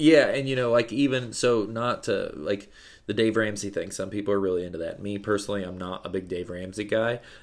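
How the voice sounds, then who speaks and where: A man with a plain, everyday voice and a fairly low pitch speaks at a fairly quick pace in an American accent with ordinary pitch variation, on a very clean recording with a silent background. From US Midwest (central Illinois). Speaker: business owner. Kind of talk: casual interview.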